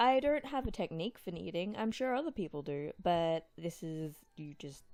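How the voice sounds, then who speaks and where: Soft-spoken and playful, the voice keeps a moderate pace with very wide pitch swings and hardly any pauses. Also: woman. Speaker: lifestyle vlogger. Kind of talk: cooking tutorial. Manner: casual, playful.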